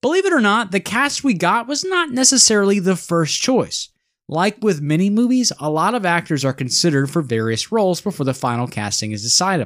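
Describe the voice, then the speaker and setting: The recording is very clean, with a silent background. The speech moves at a fairly quick pace with hardly any pauses. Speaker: podcast host. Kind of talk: scripted podcast banter.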